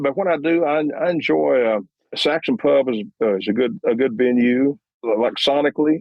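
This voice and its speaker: A man talks with a West Texas accent. His intonation is lively. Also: medium pitch for a man, moderate pace. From Texas, Lubbock. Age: 70s. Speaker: musician and producer. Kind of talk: interview. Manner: halting, many repetitions.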